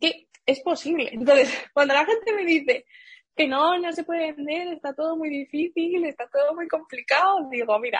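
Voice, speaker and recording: A woman's high voice at a moderate pace, dry and close with no echo. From Seville, Andalusia, Spain. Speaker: digital marketing entrepreneur. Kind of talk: interview.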